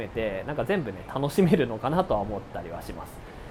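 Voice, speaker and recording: A man's speech moves at a fairly quick pace. Behind his voice, music can be heard. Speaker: entrepreneur podcast host. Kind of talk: solo monologue podcast. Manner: casual, filler-heavy.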